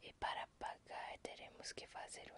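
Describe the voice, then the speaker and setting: A woman is whispering at a very slow pace. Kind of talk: ASMR book reading in Portuguese. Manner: whispered.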